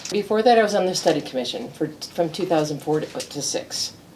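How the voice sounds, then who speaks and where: Over noticeable background noise, a woman with an American accent talks fairly quickly with lively intonation. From US East Coast and Midwest. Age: 70s. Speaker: local politician. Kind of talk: interview.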